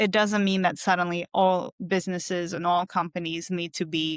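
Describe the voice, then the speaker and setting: A woman at medium pitch with a non-native accent, at a moderate pace, in a very clean recording with a silent background and a dry, close sound with no echo. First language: not English. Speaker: cognitive scientist. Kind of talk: interview. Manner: hesitant, many fillers.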